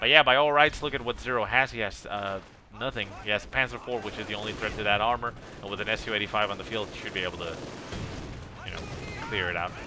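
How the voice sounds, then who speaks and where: Despite long, frequent pauses, a man talks at a very fast pace in a fairly low pitch with ordinary pitch variation, over noticeable background noise. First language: not English. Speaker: game replay caster. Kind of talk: live commentary. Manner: casual, hesitant with fillers.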